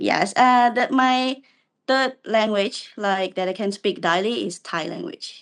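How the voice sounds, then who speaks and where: Against a quiet background, a woman with a Cambodian accent speaks very slowly at a fairly high pitch with lively intonation. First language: Khmer. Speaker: university student and aspiring language teacher. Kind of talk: casual video call interview. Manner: hesitant.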